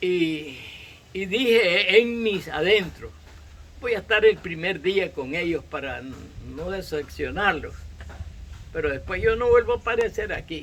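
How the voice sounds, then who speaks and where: Here a man talks at a fairly slow pace. His pitch moves in an ordinary way. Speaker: farmer. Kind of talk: interview.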